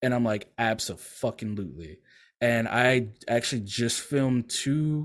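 A plain, everyday voice with an American accent and ordinary pitch variation comes through on a very clean recording with a silent background. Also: man. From Louisiana, US South. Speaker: content creator. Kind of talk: casual chat.

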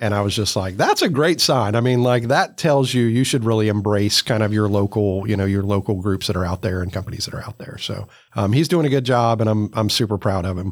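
With a normal speaking voice at a fairly low pitch, a man talks at a fairly quick pace with hardly any pauses and ordinary pitch variation, in a very clean recording with a silent background. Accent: American. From US South. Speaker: business chamber executive. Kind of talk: casual interview.

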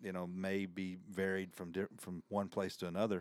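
A man with a Southern US accent speaks at a moderate pace in a very deep, low pitch. The recording is very clean, with a silent background. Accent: Southern US, noticeable country. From US South. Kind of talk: casual interview conversation.

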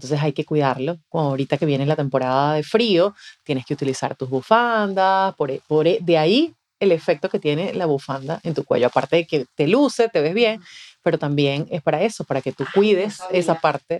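An unremarkable speaking voice, a woman at a fairly low pitch with lively intonation, moderate pace, dry close sound with no echo and a quiet background. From Venezuela. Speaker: communication mentor and voice-over announcer. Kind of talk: interview. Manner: polished announcer delivery.

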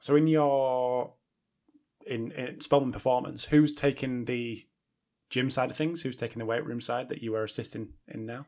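A man at a moderate pace and medium pitch, with fairly even intonation and big swings in loudness. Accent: British. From Britain. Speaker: podcast host. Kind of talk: interview.

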